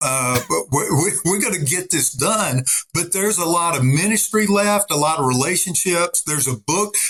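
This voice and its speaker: A man with a Southern US accent speaks at a high pitch with lively intonation. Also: moderate pace. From Arkansas. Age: 60s. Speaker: retired army officer and pastor. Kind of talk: interview conversation. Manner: animated.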